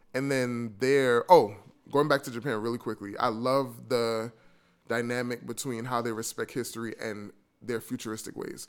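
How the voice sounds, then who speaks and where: Over a silent background in a very clean recording, a man with a New York accent talks at a moderate pace, his medium pitch held in fairly even intonation. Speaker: travel podcaster and blogger. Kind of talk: casual interview chat.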